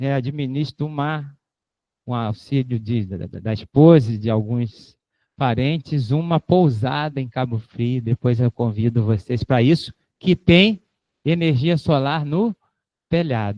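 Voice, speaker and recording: A man with a dark, mellow tone and medium pitch speaks at a fairly slow pace with ordinary pitch variation, the sound dry and close with no echo against a quiet background. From Rio de Janeiro, Brazil. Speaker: invited lecturer. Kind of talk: lecture Q&A. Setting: auditorium with live audience and online stream. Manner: casual, joking.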